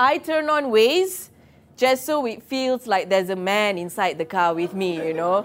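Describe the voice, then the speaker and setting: On a very clean recording with a silent background, a woman with a Malaysian accent speaks in a playful tone with very wide pitch swings. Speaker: comedian. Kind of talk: stand-up comedy set performed live to an office crowd, punchline-driven. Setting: office stage with live audience. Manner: playful crowd work, tags lines with okay and yeah; stammers and restarts when building jokes.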